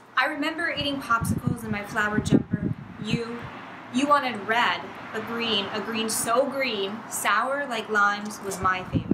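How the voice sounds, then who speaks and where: Loud background noise fills the recording. A woman speaks through it at a moderate pace. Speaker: graduate student poet. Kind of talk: poetry reading. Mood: calm, measured, some dark passages. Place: garden. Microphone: camera far.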